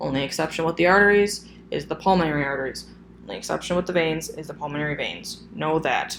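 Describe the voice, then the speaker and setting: A woman speaks at a very fast pace in a very deep, low voice with ordinary pitch variation, amid noticeable background noise and audible room echo. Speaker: phlebotomy instructor. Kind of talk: recorded lecture. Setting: solo recorded video. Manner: hesitant, many fillers.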